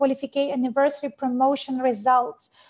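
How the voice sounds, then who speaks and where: In a high voice, a woman talks at a moderate pace. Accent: non-native. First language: not English. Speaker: network marketing trainer. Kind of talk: webinar training presentation. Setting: video webinar. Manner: halting, many fillers.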